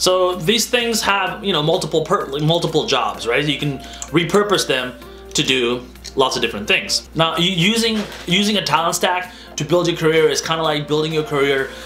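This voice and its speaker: Faint music in the background behind a man with a high pitch. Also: ordinary pitch variation, moderate pace. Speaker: vlogger giving career advice. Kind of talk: casual explainer to camera. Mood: light, playful. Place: home room.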